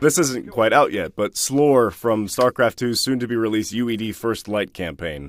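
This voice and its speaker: With an American accent, a man speaks in a normal speaking voice at a medium pitch, using lively intonation at a moderate pace. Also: hardly any pauses. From United States. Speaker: voice actor. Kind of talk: interview answer. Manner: casual, relaxed.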